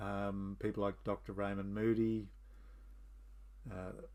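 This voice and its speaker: With an Australian accent, a man speaks fairly slowly at a fairly low pitch, his tone relaxed and his intonation flat and monotone. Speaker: history and mythology channel host. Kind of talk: casual monologue. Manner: relaxed, with fillers.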